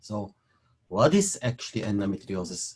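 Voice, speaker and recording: A man with a Belgian accent speaks in a somewhat breathy voice. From Belgium (Leuven). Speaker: fertility specialist doctor. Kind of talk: webinar lecture.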